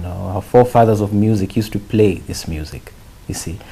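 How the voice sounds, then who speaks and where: A man is speaking. He has a Kenyan accent. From Kenya, Naivasha. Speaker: musician. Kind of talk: interview. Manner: halting.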